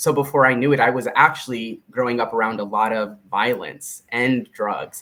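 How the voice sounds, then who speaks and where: At a moderate pace with hardly any pauses, a man speaks at a medium pitch with a bright, sharp tone and fairly even intonation. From US Southwest, Tucson, Arizona, Mexican-American barrio. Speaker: leadership consultant. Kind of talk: live stream interview. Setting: live stream video call.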